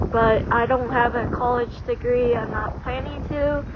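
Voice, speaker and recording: A woman talks at a very slow pace in a high pitch. Noticeable background noise is present. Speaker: amateur weather vlogger. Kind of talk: casual vlog commentary. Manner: halting, many fillers.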